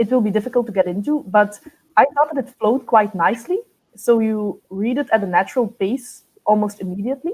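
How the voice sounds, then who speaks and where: A woman with a non-native accent speaks in a fairly high pitch with ordinary pitch variation. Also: fairly quick pace. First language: not English. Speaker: book reviewer. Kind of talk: group book discussion.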